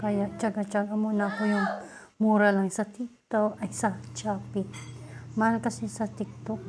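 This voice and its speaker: A woman speaks loudly at a very slow pace. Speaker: beauty vlogger. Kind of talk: casual tutorial vlog. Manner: deliberately loud.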